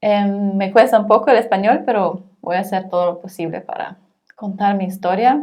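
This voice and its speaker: Fairly slow speech from a woman, medium in pitch. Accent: German. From Germany. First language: German (speaking Spanish). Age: 30s. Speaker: social worker. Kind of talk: interview. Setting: in person, not over Zoom. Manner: halting, frequent hesitations.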